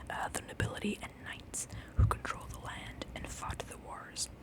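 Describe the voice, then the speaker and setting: A woman whispers over noticeable background noise. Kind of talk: whispered ASMR book reading. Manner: whispered, soft.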